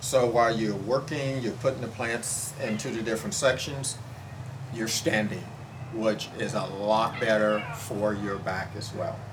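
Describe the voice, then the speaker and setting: Through audible room echo and noticeable background noise, a man speaks at a fairly slow pace with medium pitch and fairly even intonation. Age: 60s. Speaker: home gardener. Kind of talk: testimony. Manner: halting, with fillers.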